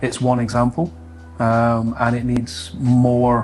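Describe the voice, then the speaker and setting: With music in the background, a man with a Scottish accent talks at a medium pitch and fairly even intonation. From Scotland. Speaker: solar industry sales team lead. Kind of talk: interview.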